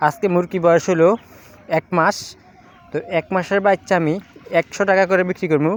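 A man speaks at a high pitch in a monotone, flat delivery. The sound is dry and close with no echo, and there is noticeable background noise. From Bangladesh, Comilla region. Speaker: poultry farmer vlogger. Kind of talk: casual vlog sales pitch.

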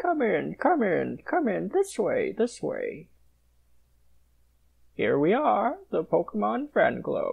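A cartoonish character voice speaks at a fairly slow pace. Long, frequent pauses break up the lines. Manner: effusive, flattering, courtly.

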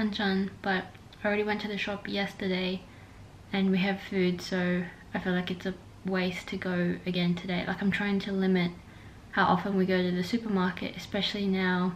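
Against light background noise, a woman speaks with monotone, flat intonation. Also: moderate pace. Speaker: vlogger. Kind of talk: casual vlog chat. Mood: relaxed, chatty. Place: home room. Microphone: phone near.

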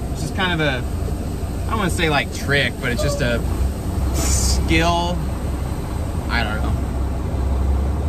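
Loud background noise is present throughout. Over it, a man talks. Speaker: truck driver vlogger. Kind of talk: casual vlog chat. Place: car. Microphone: phone near.

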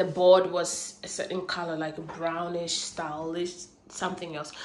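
At a fairly slow pace and with little pitch movement, the voice carries audible room echo. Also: woman, fairly low pitch for a woman.

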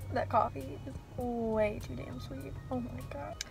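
Over clear music in the background, a woman speaks in a relaxed tone with a dry sound and no echo. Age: young. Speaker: vlogger. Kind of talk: casual vlog talk to camera. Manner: relaxed, chatty. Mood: chatty, mildly exasperated. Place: car. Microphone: phone near.

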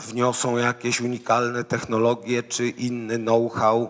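This man talks fairly slowly. His voice sits at a medium pitch. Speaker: foundation president, panelist. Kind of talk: panel commentary. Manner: halting, many fillers.

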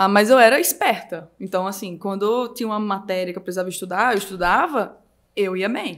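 A woman is talking. Her pace is fairly quick. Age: 20s. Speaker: digital marketing entrepreneur. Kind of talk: casual chat. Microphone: speaks very close to the microphone.

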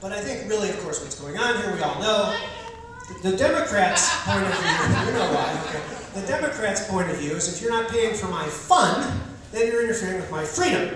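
A man talks fairly quickly in a high voice. Strong room echo and noticeable background noise fill the recording. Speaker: political candidate doing stand-up. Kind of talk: stand-up comedy with political satire, delivered as a campaign speech. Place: stage.

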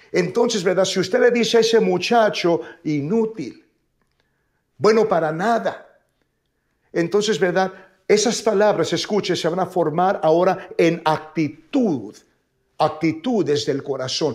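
Over a quiet background, a man speaks at a fairly slow pace with long, frequent pauses. His voice is high, with ordinary pitch variation. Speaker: preacher. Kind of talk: sermon. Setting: online broadcast from church. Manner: animated; bilingual, repeating each phrase in Spanish and English. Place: studio.

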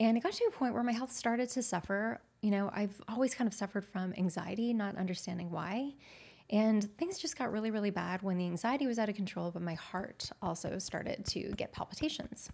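A woman with a warm tone and a somewhat breathy voice speaks at a fairly quick pace on a very clean recording with a silent background. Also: medium pitch for a woman, ordinary pitch variation. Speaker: nutritionist. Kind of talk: interview conversation.

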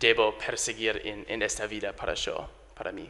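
An English accent at a fairly slow pace. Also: man. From US, Delaware. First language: English (speaking Spanish). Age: 20s. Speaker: English teacher; visiting English teacher. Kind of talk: interview. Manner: halting, many fillers and repetitions. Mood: grateful, warm. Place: studio. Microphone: handheld.

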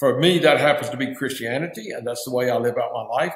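The speech comes at a fairly quick pace in an Appalachian accent. The background is quiet, with audible room echo. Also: man. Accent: Southern US (Appalachian). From Virginia mountains (Appalachia). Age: 60s. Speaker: nonprofit founder, former pastor; former pastor. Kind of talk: interview. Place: office. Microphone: webcam.

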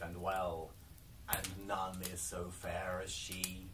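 Light background noise accompanies speech at a very slow pace. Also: man. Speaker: storyteller. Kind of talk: storybook reading aloud. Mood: calm, cozy bedtime-story tone. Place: home room. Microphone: camera far.

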